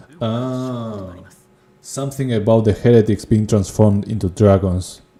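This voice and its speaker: A man with a non-native accent, a dark, mellow tone and fairly even intonation. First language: not English. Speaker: video game streamer. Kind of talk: gameplay livestream commentary. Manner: casual, thinking aloud.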